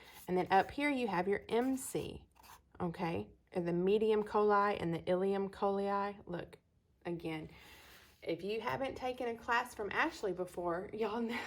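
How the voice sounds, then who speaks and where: A woman speaks with a Texas accent at a moderate pace. The recording is very clean, with a silent background. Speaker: astrology teacher. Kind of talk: lecture. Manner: casual, folksy.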